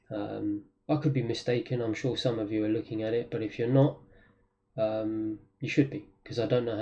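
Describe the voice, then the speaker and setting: In a London accent, the speaker moves at a fairly quick pace with a dark, mellow, somewhat breathy tone and fairly even intonation. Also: man. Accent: British (London). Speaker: trader. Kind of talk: trading tutorial. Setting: wearing a mask on camera. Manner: frequent fillers (um, uh).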